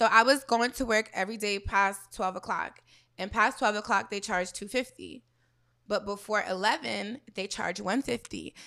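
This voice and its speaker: Her tone bright, sharp and animated, a woman speaks at a moderate pace and medium pitch with vocal fry, on a very clean recording with a silent background. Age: 20s. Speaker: exotic dancer. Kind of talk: casual chat.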